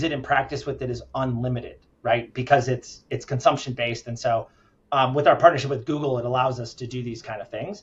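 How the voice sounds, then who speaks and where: A man speaks very fast at a medium pitch, somewhat breathy, with big swings in loudness. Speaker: healthcare company founder and CEO. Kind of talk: interview.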